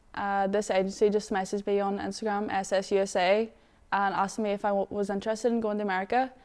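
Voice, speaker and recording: Very fast, flat, monotone speech in a Northern Irish accent, in a very clean recording with a silent background. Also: woman. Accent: Derry Northern Irish. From Northern Ireland, Derry. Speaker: footballer. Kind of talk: interview.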